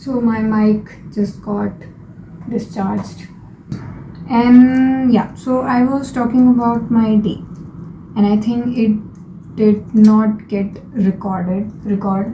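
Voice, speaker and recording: A woman with a non-native accent speaks very slowly at a fairly high pitch, with fairly even intonation and long, frequent pauses. Audible room echo and noticeable background noise come through. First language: not English. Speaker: lifestyle vlogger. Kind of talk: casual vlog monologue. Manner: hesitant, with fillers and restarts.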